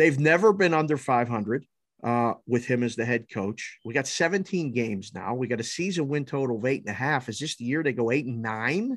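In a very clean recording with a silent background, a man with an American accent talks at a fairly quick pace in a plain, everyday voice, medium in pitch, with lively intonation and hardly any pauses. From Pittsburgh, Pennsylvania. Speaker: sports betting analyst. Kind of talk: casual chat.

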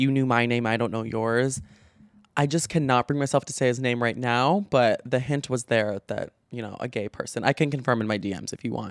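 Recorded dry and close with no echo, a man with a medium pitch and ordinary pitch variation talks at a fairly quick pace. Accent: Midwestern. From Chicago, US Midwest. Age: 20s. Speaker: podcaster and social media creator. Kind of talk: casual chat, monologue to audience. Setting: studio, solo podcast. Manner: chatty, animated, conversational; pauses or blocks on P and B sounds.

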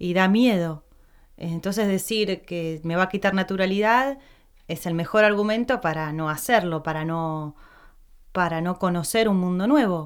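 On a very clean recording with a silent background, a woman uses a normal speaking voice at a medium pitch and fairly slow pace with ordinary pitch variation. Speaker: podcast host, actress. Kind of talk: casual interview chat.

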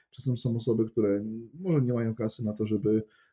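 A man with a dark, mellow tone and a somewhat breathy quality. His intonation stays fairly even. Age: 20s. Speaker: personal trainer. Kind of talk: casual interview. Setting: wearing headphones, recording.

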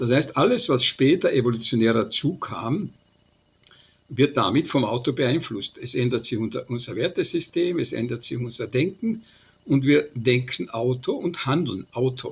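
Somewhat breathy and medium in pitch, a man speaks at a fairly slow pace with lively intonation. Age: 80s+. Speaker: transport scientist, professor emeritus. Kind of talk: interview.

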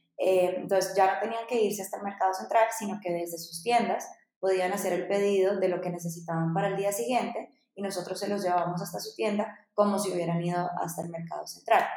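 A woman talks at a fairly quick pace with fairly even intonation and a medium pitch. Room echo is audible. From Dominican Republic (born in Bogotá, Colombia). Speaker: startup founder. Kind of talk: interview.

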